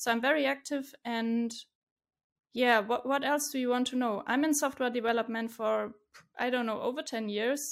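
Someone speaks at a moderate pace in a German accent with fairly even intonation. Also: woman, high pitch for a woman. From Germany, Stuttgart (southwest). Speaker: software developer, freelancer. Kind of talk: casual interview chat.

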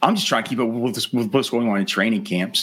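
A man with an American accent speaks at a medium pitch with lively intonation over noticeable background noise. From Texas. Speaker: fantasy football podcast host. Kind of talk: casual interview chat.

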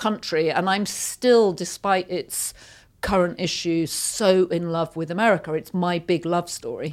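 In a very clean recording with a silent background, a woman with a British accent speaks fairly slowly at a fairly low pitch. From Yorkshire, northern England. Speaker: magazine editor and media executive. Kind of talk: interview conversation. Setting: studio.

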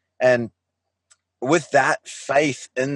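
A man with a New Zealand accent is heard against a quiet background, with a dry, close sound and no echo. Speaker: life coach. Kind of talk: interview. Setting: video call.

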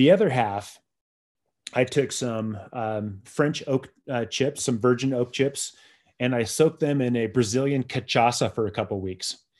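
At a fairly slow pace, a man with an American accent uses an ordinary speaking voice, a medium pitch and ordinary pitch variation against a quiet background. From San Diego, California. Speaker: beer writer and educator. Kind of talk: casual interview.

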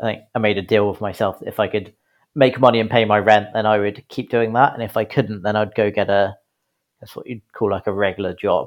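Speaking with a British accent, a man has a fairly low pitch. His intonation is monotone and flat. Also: quiet background. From UK. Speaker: business founder and CEO. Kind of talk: interview. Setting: remote recording.

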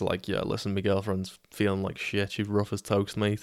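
A man with a Liverpool accent and a fairly low pitch, in a monotone, flat intonation, in a very clean recording with a silent background. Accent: Scouse (Liverpool). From Liverpool, England. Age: 20s. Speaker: podcaster. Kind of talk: casual storytelling monologue. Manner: casual, sweary.

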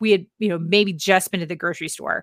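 This is an unremarkable speaking voice with an American accent and ordinary pitch variation. The recording is very clean with a silent background and a dry, close sound with no echo. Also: woman. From Northern Virginia. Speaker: lifestyle blogger and podcast host. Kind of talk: casual chat.

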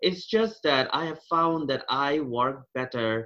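A man with a Bengali accent, fairly slow and lively in intonation. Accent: Indian English (Bengali). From India, Kolkata (Bengal). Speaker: engineer with PhD, former international student. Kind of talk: interview conversation. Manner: halting.

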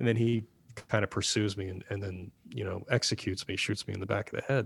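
A somewhat breathy man at a fairly quick pace, fairly low in pitch with ordinary pitch variation, on a very clean recording with a silent background. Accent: American. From New Jersey (Chatham, Morris County). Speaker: actor and filmmaker. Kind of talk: casual interview chat.

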